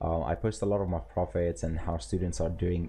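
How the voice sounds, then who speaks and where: This man has a very deep, low pitch. His tone is dark and mellow, with vocal fry. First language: not English (English is his third language). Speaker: forex trading streamer and teacher. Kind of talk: live stream chat and trading tutorial. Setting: live stream. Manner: casual, filler-heavy with frequent repetitions.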